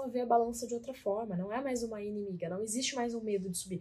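A woman's somewhat breathy, fairly high voice at a fairly quick pace, with ordinary pitch variation. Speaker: podcast co-host, weight-loss coach. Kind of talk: casual chat.

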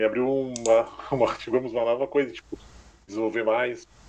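Against noticeable background noise, a man with a medium-pitched voice talks at a fairly quick pace. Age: 20s. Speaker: university student. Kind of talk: casual chat.

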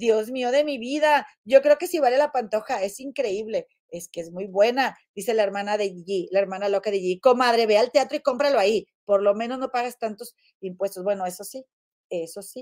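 Speaking at a moderate pace, a woman sounds animated, with ordinary pitch variation and a dry, close sound without echo. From Mexico, Monterrey. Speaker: gossip show host. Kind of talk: casual livestream chat. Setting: home livestream.

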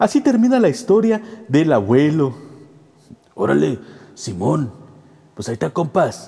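Over noticeable background noise, a man with a fairly high pitch and very wide pitch swings speaks at a fairly slow pace, with long, frequent pauses. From Tijuana, Mexico. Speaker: podcast host and storyteller. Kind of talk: ghost story telling, horror narration in first person. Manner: animated, playful, casual intro and outro.

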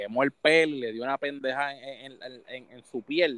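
A man with a Puerto Rican accent, fairly high in pitch, with fairly even intonation at a moderate pace. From Puerto Rico. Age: 30s. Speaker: gaming streamer. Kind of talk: casual chat.

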